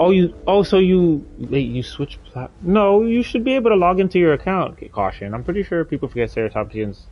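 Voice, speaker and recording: The man talks fairly quickly. He has a non-native accent. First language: not English. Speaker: gaming streamer. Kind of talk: live gameplay stream chat. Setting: live stream. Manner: hesitant, many fillers.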